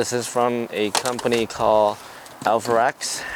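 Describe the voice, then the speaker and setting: The speaker has a non-native accent. Noticeable background noise can be heard. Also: man. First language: not English. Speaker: car DIY YouTuber. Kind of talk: tutorial. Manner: casual.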